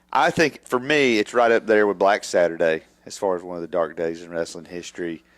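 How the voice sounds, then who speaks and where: Loud speech comes fast, with lively intonation and hardly any pauses. The recording is very clean with a silent background. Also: man, very deep, low pitch for a man. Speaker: wrestling podcast co-host. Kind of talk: casual chat.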